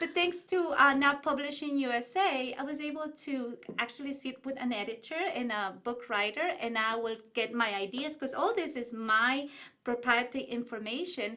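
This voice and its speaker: With an Ecuadorian accent, a woman projects a raised, high-pitched voice with a bright, sharp tone, ordinary pitch variation and a moderate pace. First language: Spanish. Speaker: business owner and author. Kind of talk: interview. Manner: animated.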